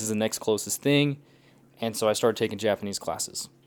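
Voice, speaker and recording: Recorded very cleanly with a silent background, a man with an ordinary speaking voice talks at a fairly quick pace and fairly low pitch. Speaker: language learner, polyglot. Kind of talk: casual chat.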